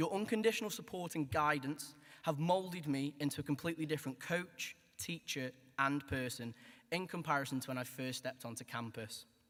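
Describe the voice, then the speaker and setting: At a fairly quick pace, a man with a Stoke accent talks at a fairly high pitch with ordinary pitch variation. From Stoke-on-Trent, England. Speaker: graduating student. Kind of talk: graduation speech. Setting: hall with audience.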